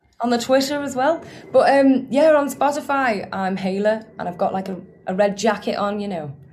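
A woman speaks with a fairly high pitch and lively intonation. Room echo is audible. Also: moderate pace. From Merseyside, England (Formby, near Liverpool). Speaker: singer-songwriter. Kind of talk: casual chat.

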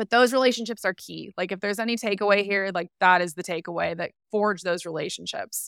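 A woman with an American accent talks at a very fast pace, with hardly any pauses. Her medium-pitched voice has ordinary pitch variation on a very clean, dry, close recording with a silent background and no echo. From Southern California. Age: 30s. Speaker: magazine editor. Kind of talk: casual interview chat.

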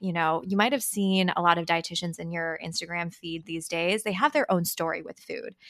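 With a Californian accent, a woman with a fairly low pitch and a bright, sharp tone speaks with ordinary pitch variation on a very clean recording with a silent background. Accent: California. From San Francisco Bay Area (Marin County). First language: Chinese. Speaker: dietitian. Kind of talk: interview.

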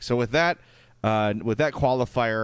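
With a strong Chicago accent, a man talks with ordinary pitch variation against a quiet background. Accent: thick Chicago. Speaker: podcast host. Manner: casual, conversational.

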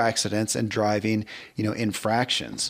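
Heard on a very clean recording with a silent background, a man with an American accent speaks at medium pitch in a plain, everyday voice. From US South (Kentucky). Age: 50s. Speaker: podcast host. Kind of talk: casual chat.

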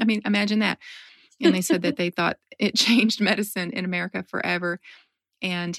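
Speaking at a fairly quick pace but with long, frequent pauses, a woman at medium pitch varies her pitch in an ordinary way, the sound dry and close with no echo. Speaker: podcast host; nurse. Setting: podcast interview.

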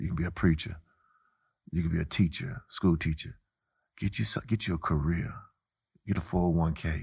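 A man's very deep, low voice with vocal fry and an American accent, at a fairly quick pace broken by long, frequent pauses. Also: ordinary pitch variation. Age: 40s. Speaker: former college basketball player. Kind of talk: interview.

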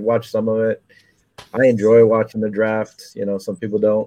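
The dark, mellow voice, with an American accent, comes through in a dry, close sound with no echo. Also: man. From New Jersey. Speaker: podcast host. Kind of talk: casual chat.

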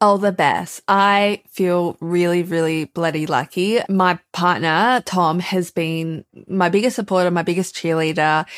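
A woman with an Australian accent speaks at a fairly slow pace and fairly low pitch, with hardly any pauses and very even loudness. The recording is very clean, with a silent background and a dry, close sound with no echo. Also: fairly even intonation. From Australia, Melbourne. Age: 20s. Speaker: writer and editor. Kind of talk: casual interview.

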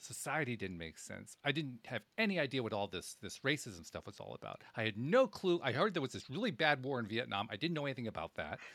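A man talks at a very fast pace with an American accent. His voice has vocal fry and very wide pitch swings. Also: medium pitch for a man. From upstate New York, Schenectady. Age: 60s. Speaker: podcast host. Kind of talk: interview conversation. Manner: halting, repeats words.

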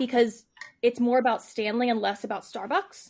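The recording is very clean, with a silent background. A woman with an American accent speaks at a high pitch and a moderate pace. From northern US. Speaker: podcast host and interviewer. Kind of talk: casual chat.

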